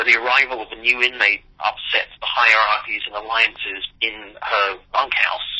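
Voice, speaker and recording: Over noticeable background noise, a man with an English accent talks at medium pitch in a monotone, flat intonation. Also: moderate pace, hardly any pauses. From New York. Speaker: playwright. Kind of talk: interview. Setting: phone call.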